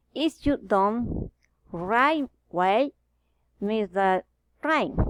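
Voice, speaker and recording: At a very slow pace, a woman speaks with lively intonation in a dry, close sound with no echo. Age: 30s. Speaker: language learner. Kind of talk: reading aloud.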